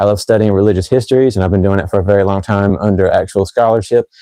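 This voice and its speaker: A man in an American accent talks at a very fast pace, his fairly low voice dark and mellow, with a dry, close sound, no echo and a quiet background. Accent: shifts when talking fast. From North Carolina. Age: 30s. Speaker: fragrance reviewer. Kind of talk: live stream chat. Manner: casual.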